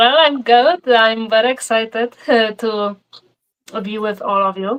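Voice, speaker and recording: Talking at a fairly slow pace, a woman with a Polish accent has a fairly high pitch and ordinary pitch variation. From Poland. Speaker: painter. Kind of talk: interview.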